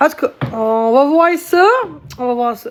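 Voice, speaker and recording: A woman with a slight Gaspésie accent. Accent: slight Gaspésie accent (Quebec French). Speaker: live streamer. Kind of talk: casual live stream chat. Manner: halting, many fillers.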